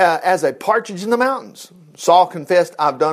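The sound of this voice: Someone reads in an unforced reading voice, the pitch jumping about with energy.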